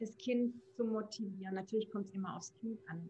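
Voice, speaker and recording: Her voice somewhat breathy, a woman keeps a fairly high pitch and fairly even intonation. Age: 40s. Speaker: parenting coach. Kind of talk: casual interview.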